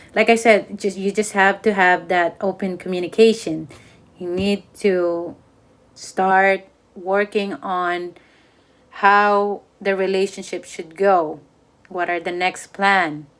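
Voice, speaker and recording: Monotone and flat, a woman speaks at a very slow pace. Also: medium pitch for a woman. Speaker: tarot reader. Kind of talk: tarot reading monologue. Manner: halting, stuttering.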